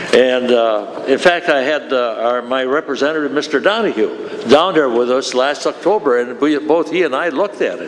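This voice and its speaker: Fairly high-pitched male voice with noticeable background noise. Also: ordinary pitch variation, moderate pace. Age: 80s+. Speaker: retired railroad worker, public commenter. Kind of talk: public comment at meeting. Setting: county board meeting. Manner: animated.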